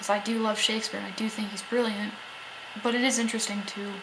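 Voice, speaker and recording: Whispering at a very fast pace, a woman is heard over noticeable background noise. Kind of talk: casual vlog talk to camera.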